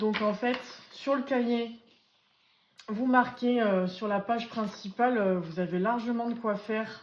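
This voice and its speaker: In a room with audible echo, a woman with a fairly high pitch speaks at a very slow pace with ordinary pitch variation. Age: 20s. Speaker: budgeting vlogger. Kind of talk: casual tutorial. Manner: hesitant, many fillers.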